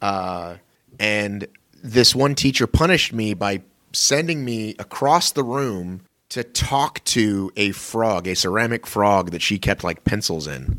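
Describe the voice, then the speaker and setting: A man talks at a fairly slow pace with lively intonation. His is a plain, everyday voice. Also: fairly low pitch for a man. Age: 40s. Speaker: podcast co-host. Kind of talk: casual chat.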